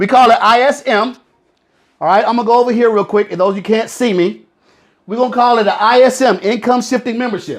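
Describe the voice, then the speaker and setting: A man speaks at a fairly quick pace with ordinary pitch variation. His voice is extremely high for a man. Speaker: financial product promoter. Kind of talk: sales pitch. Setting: live stream. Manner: fast; animated.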